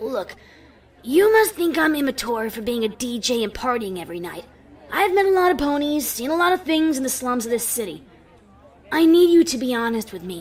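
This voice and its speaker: The voice is a put-on character voice pitched fairly high. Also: fairly quick pace. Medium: read story. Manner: blunt, protective.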